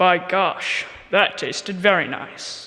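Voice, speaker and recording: A man puts on a character voice with a high pitch at a fairly slow pace. There is clear echo. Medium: stage play. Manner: menacing.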